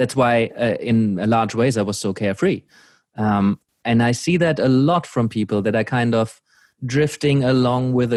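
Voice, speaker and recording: A German accent with ordinary pitch variation on a very clean recording, silent background. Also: man. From Germany. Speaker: podcast host, coach. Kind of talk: casual chat.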